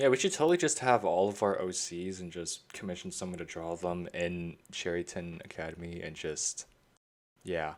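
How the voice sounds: On a very clean recording with a silent background, a man speaks at a moderate pace and low pitch with ordinary pitch variation.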